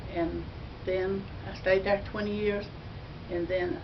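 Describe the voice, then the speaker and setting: Amid noticeable background noise and audible room echo, a woman with an Alabama accent talks at a moderate pace. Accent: Southern US (Alabama). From US South, northern Alabama. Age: 80s+. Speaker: elderly churchgoer. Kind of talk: personal testimony. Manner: halting.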